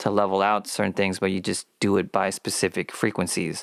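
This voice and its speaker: A man talks at a moderate pace in a fairly low voice. The recording is very clean with a silent background, dry and close with no echo. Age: 30s. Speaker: podcast host and audio engineer. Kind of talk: solo podcast monologue. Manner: monotone; halting.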